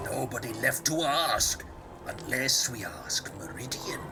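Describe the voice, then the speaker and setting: Amid loud background noise, a man whispers in a put-on character voice at a fairly slow pace. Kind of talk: archaic fantasy speech. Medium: solo performance. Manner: jovial, folksy.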